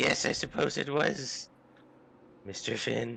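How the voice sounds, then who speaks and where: A man speaks at a fairly slow pace in a put-on character voice, raspy in texture. His pitch sits in the medium range. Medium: actual play. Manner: ingratiating, sly.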